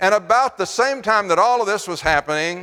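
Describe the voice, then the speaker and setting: A man's bright, sharp tone with lively intonation at a moderate pace, on a very clean recording with a silent background. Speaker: guest lecturer on science and faith. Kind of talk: lecture. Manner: conversational, engages audience.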